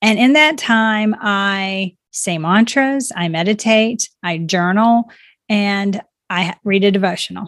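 Using a normal speaking voice, a woman talks at a medium pitch and shows ordinary pitch variation. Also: dry, close sound with no echo, very clean recording, silent background. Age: 50s. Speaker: life coach and author. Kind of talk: interview conversation.

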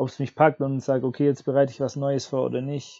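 A man is speaking at a medium pitch. His tone is dark and mellow. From Swabia, southern Germany. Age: 30s. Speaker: teacher. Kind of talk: casual chat. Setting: remote call from home.

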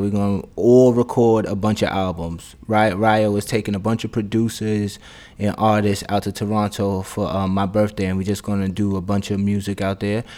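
At a moderate pace, a man's fairly low voice carries on. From Brooklyn, New York (Bed-Stuy). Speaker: podcast host and rapper. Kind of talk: casual solo monologue. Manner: animated.

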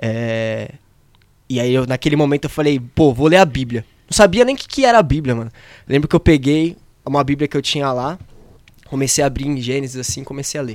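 In a very clean recording with a silent background, the speaker uses ordinary pitch variation and takes long, frequent pauses. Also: man, fairly high pitch for a man. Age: 20s. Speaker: young church member back from mission trip. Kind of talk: exhortation; casual podcast chat.

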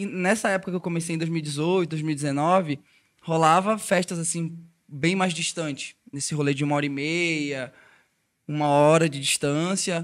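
In a very clean recording with a silent background, a man with a plain, everyday voice speaks fairly slowly at a fairly high pitch, with fairly even intonation. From Brazil, Belém do Pará. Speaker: electronic music DJ. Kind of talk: casual chat.

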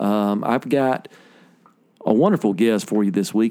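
With a Southern US accent, a man of fairly low pitch speaks at a moderate pace in a dark, mellow tone. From Alabama. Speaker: podcast host and musician. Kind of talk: casual interview chat.

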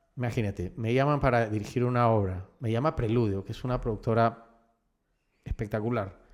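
On a very clean recording with a silent background, a man talks at a fairly quick pace with a fairly low pitch. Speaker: actor and director. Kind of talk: casual interview chat.

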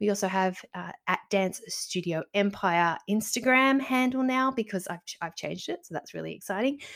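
Speaking at a moderate pace with hardly any pauses, a woman uses a medium pitch, ordinary pitch variation and big swings in loudness. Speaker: dance studio owner and business coach. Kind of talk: solo podcast talk. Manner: animated.

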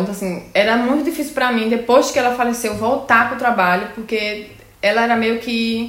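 A woman talks at a moderate pace with a fairly high pitch and fairly even intonation. Noticeable background noise runs under her voice. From Brazil, Pernambuco. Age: 20s. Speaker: nurse. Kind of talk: casual chat.

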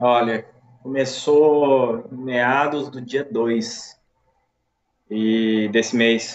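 This man talks at a medium pitch. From Brazil, Minas Gerais (Uberaba). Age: 30s. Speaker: COVID-19 survivor. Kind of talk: casual interview, personal testimony.

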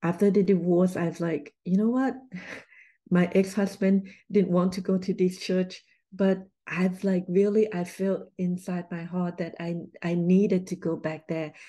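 Over a quiet background, a woman speaks at a medium pitch in a dark, mellow tone with monotone, flat intonation. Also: fairly slow pace. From Thailand. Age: 50s. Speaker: doctor and speaker. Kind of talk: casual interview conversation.

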